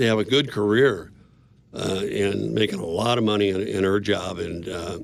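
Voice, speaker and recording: At a fairly slow pace, a man talks in a fairly low pitch. Audible room echo can be heard. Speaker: business owner. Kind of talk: interview. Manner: loud.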